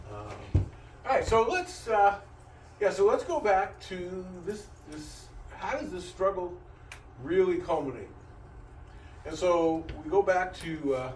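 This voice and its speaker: Noticeable background noise and audible room echo surround this recording. A man speaks at a moderate pace. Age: 70s. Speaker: teacher. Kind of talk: lecture. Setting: classroom. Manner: halting, with frequent repetitions.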